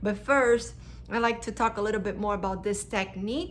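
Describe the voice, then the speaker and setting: Speaking with a non-native accent, a woman of medium pitch is heard with audible room echo. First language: not English. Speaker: hypnosis practitioner and spiritual vlogger. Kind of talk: casual explanatory talk to camera.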